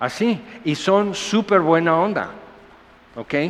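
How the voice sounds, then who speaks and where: There is noticeable background noise as a man talks in a high voice. His pace is very slow and his intonation lively. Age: 60s. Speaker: pastor. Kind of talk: sermon. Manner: animated.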